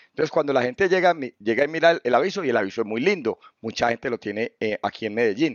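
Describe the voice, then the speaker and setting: A man speaks at medium pitch and a very fast pace. His intonation is lively. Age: 50s. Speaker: business owner and theologian. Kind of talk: interview.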